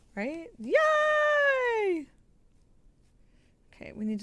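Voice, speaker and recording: A woman's voice with noticeable background noise. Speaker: sewing livestreamer. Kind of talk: casual livestream chat. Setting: sewing room livestream. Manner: animated.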